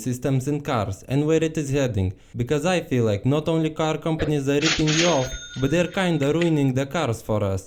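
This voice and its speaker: Noticeable background noise lies behind a man with a fairly high pitch who talks at a fairly quick pace, his loudness very even. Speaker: car commentary youtuber. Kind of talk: casual talk to camera. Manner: humorous, irreverent.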